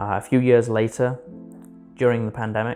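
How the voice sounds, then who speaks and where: A man's medium-pitched voice with fairly even intonation, music in the background. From North East England. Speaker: student triathlete. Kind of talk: interview answer.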